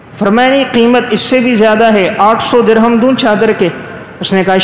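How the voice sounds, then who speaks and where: A man's high-pitched voice with fairly even intonation over noticeable background noise. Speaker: Islamic scholar giving a sermon. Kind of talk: Friday sermon (bayan) in Urdu.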